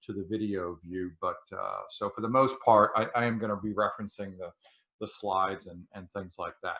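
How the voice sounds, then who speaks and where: A man talks in a fairly low pitch with a bright, sharp tone. The background stays quiet. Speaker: clinical educator presenting a webinar. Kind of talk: live webinar lecture.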